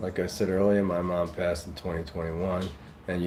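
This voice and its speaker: In a room with audible echo, a man with a New York accent speaks at a fairly quick pace, very deep and low in pitch, his intonation fairly even. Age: 50s. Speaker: live streamer. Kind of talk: casual chat reading live comments. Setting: livestream.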